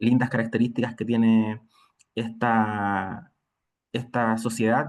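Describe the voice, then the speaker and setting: A man with a Chilean accent speaks at a very slow pace. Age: 30s. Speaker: nursing lecturer. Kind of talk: lecture.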